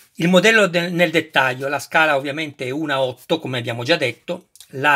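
Against a quiet background, a man speaks in a bright, sharp tone with ordinary pitch variation. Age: 50s. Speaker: YouTuber model kit reviewer. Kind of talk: unboxing tutorial. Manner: animated. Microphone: phone near.

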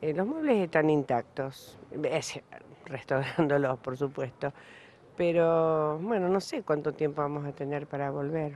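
Over light background noise and with a dry sound that has no echo, a woman with a very deep, low pitch and ordinary pitch variation speaks at a fairly slow pace. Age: old. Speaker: resident of damaged building. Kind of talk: witness interview; interview answer. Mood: worried, resigned. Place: street. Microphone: handheld.

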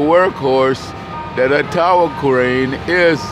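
A man at a very slow pace with lively intonation, the sound dry with no echo, amid noticeable background noise. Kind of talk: casual commentary. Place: street. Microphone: phone near.

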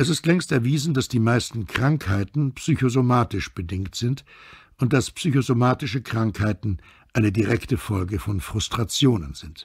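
A man's somewhat breathy voice moves at a fairly slow pace with lively intonation. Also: very clean recording, silent background. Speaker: actor and dubbing voice actor. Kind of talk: audiobook reading.

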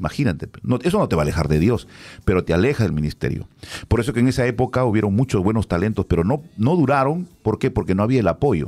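A man talks at a very fast pace with a fairly low pitch and a dark, mellow tone. His pitch swings very widely. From Peru. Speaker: radio announcer. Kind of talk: casual chat. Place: studio. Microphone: studio mic.

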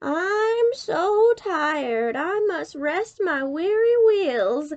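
Putting on a character voice, a woman speaks at an extremely high pitch. She goes very slowly, with big pitch swings.

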